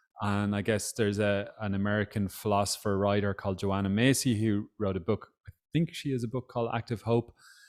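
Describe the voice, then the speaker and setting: In an Irish accent, a man talks at a moderate pace with a fairly low pitch and fairly even intonation. The sound is dry and close, with no echo. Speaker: author and social campaigner. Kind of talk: book club interview. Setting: video call.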